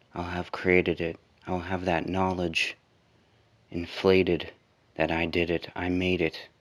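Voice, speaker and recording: A man with a very deep, low voice speaks at a fairly slow pace, leaving long, frequent pauses. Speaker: spoken word poet. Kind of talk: improvised spoken word poetry. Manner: relaxed.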